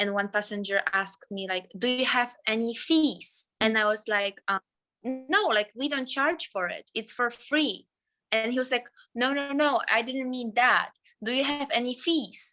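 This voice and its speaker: The voice has a bright, sharp tone and a non-native accent, moving at a fairly slow pace with ordinary pitch variation. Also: woman, high pitch for a woman. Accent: foreign. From Poland. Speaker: flight attendant. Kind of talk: casual chat.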